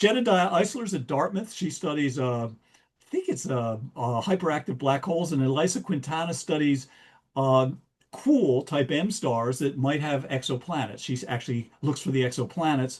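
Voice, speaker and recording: A man with a strong American accent, a fairly high pitch and lively intonation. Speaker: astronomy speaker. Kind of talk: lecture. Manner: fast; halting.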